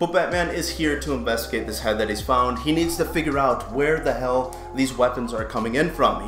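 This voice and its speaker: Clear background music behind a man talking at a moderate pace. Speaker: comic book reviewer. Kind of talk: commentary.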